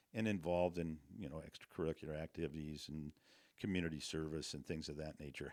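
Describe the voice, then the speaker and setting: Speaking with a western US accent, a man has a very deep, low pitch. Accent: western American. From Montana. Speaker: real estate broker. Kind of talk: interview answer. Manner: casual, humorous.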